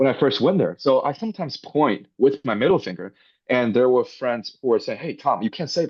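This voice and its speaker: A man with a Chinese accent speaks at a fairly quick pace. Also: medium pitch for a man, lively intonation. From northwest China. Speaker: robotics startup founder. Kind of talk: interview. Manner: hesitant with fillers.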